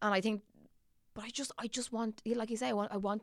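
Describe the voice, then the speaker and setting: A woman speaks with a Dublin accent. Her pace is very fast. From Ireland, Dublin. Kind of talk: casual chat.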